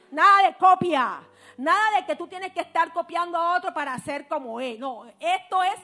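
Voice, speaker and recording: A woman's raised, projected voice at an extremely high pitch, fairly slow in pace, with ordinary pitch variation and big swings in loudness. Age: 40s. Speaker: preacher. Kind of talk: sermon.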